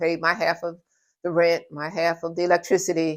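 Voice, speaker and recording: In a New York accent, a woman speaks at a moderate pace with a fairly low pitch. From New York (Brooklyn), Trinidadian parents. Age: 70s. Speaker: interviewee sharing life story. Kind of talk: interview. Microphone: audio issue in part of video.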